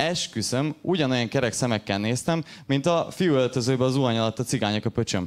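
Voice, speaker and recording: A man with a plain, everyday voice talks at a fairly quick pace, using a medium pitch and ordinary pitch variation. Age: 20s. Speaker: stand-up comedian. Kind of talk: stand-up. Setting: stage with audience.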